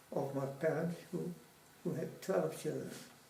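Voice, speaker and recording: A man's fairly even intonation amid audible room echo. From Dutch East Indies (Java), Surabaya. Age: 90s. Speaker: war veteran. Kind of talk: oral history interview.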